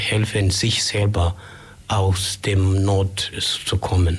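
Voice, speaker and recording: Over noticeable background noise, a man talks in a monotone, flat intonation with a fairly low pitch. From Kenya, Migori County. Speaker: human rights volunteer. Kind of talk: radio interview. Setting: radio studio. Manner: halting.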